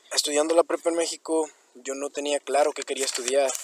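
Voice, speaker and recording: A man with a Mexican accent speaks in a monotone, flat intonation. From Mexico. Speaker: college student. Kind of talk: personal story reading.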